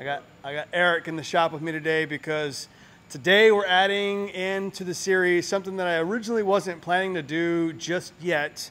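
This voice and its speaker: The man's voice sits high in pitch, and his intonation stays fairly even. He talks at a moderate pace. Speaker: vehicle build vlogger. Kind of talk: casual vlog chat. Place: garage. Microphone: phone near.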